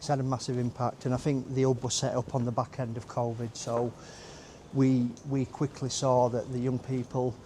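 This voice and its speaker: In a Yorkshire accent, a man speaks at a moderate pace and medium pitch. His tone is dark and mellow, with monotone, flat intonation. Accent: Yorkshire (Barnsley). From northern England, Barnsley, Yorkshire. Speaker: recovery mentor and youth support worker. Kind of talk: casual interview, personal testimony. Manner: loud.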